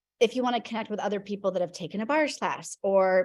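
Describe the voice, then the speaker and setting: A woman with a medium pitch and a dark, mellow tone speaks with ordinary pitch variation. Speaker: class follow-up call host. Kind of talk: Q&A video call. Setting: video call. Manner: fast.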